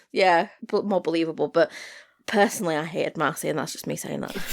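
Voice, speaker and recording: Very fast speech from a woman with vocal fry and ordinary pitch variation, on a very clean recording with a silent background. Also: big swings in loudness. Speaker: podcast co-host. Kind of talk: casual chat. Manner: loud.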